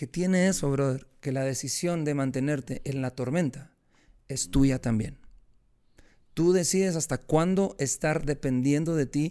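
A dark, mellow tone at a fairly slow pace, with ordinary pitch variation. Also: man, fairly high pitch for a man. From Guatemala. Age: 40s. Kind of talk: interview testimony.

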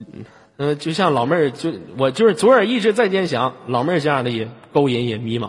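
A man with a fairly high pitch, an animated tone and very wide pitch swings. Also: fairly quick pace. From Inner Mongolia, rural. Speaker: late-night radio host. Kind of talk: casual call-in chat. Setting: online voice-chat room. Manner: animated, joking.

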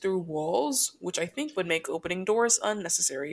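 A woman's lively intonation rises and falls at a moderate pace. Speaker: podcast co-host. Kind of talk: casual chat, comedic storytelling. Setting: recording at home, thin walls. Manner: loud talker.

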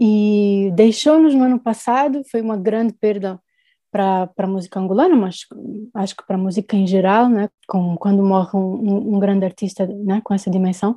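A woman's dark, mellow voice at medium pitch, with ordinary pitch variation and a moderate pace. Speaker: singer-songwriter and music producer. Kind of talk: interview.

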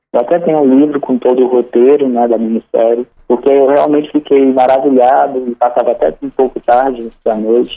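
The man's pitch sits in the medium range and varies in an ordinary way. He keeps a moderate speed. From Sobral, Ceará, Brazil. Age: young. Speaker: writer. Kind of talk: radio interview. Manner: halting.

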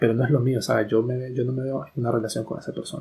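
This man's voice sits at a medium pitch. It has a somewhat breathy quality. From Nicaragua (Managua). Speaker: podcast co-host. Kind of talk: casual chat.

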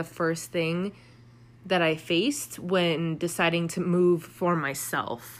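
A woman with an American accent speaks in a normal speaking voice at a fairly low pitch. Her pace is fairly slow and her loudness very even. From US Pacific Northwest (Seattle). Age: 20s. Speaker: podcast host. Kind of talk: solo monologue podcast. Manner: casual, with filler words.

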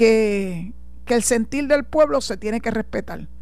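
A woman with a Puerto Rican accent speaks at a fairly slow pace. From Puerto Rico. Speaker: radio host and lawyer. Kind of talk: radio talk show commentary. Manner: animated.

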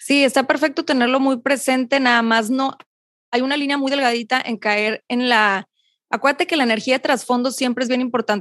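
Fairly quickly and with fairly even intonation, a woman speaks at a high pitch in a dry, close sound with no echo, on a very clean recording with a silent background. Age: 30s. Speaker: meditation coach. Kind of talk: interview.

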